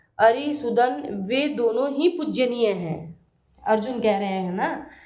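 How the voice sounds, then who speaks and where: A woman speaks at a very slow pace and a high pitch, with audible room echo around her. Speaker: devotional video blogger. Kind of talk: casual video intro; reading aloud of scripture commentary. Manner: halting, with restarts.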